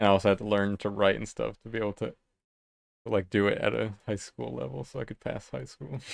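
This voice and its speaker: In a very clean recording with a silent background, a man with a fairly low pitch and vocal fry talks at a very fast pace with very wide pitch swings. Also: big swings in loudness, dry, close sound with no echo. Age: 30s. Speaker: illustrator streaming live. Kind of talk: casual chat. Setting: live stream. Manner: casual, filler-heavy. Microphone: new microphone setup.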